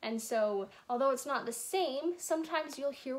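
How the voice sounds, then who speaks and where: A woman's fairly slow speech with lively intonation. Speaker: teacher of a kids' language lesson. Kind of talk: tutorial for children. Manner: casual, friendly. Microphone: phone near.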